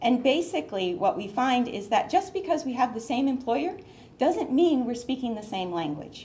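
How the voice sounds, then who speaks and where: Over light background noise, a woman with a high pitch and a dark, mellow tone speaks at a moderate pace with very wide pitch swings. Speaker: education department data official; presenter. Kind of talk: conference presentation. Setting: stage with audience. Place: meeting room. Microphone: podium.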